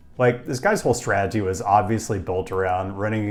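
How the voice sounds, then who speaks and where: A man with an American accent talks at a fairly low pitch, keeping his intonation fairly even. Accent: normal American. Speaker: urbanism video creator. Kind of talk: commentary video.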